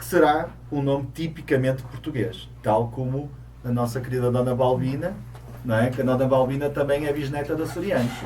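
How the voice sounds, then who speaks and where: The voice moves at a fairly quick pace with fairly even intonation. Noticeable background noise and audible room echo surround it. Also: man, medium pitch for a man. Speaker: co-host of a Portuguese community segment. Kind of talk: casual talk-show chat.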